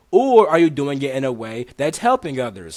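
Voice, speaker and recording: On a very clean recording with a silent background, a man talks in an animated tone at a fairly high pitch. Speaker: spiritual teacher. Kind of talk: casual chat. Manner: fast.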